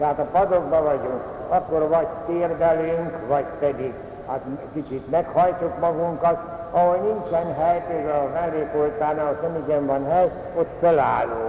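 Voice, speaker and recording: A man's fairly high, fairly even voice at a fairly slow pace, with audible room echo and noticeable background noise. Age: old. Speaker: priest. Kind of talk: lecture.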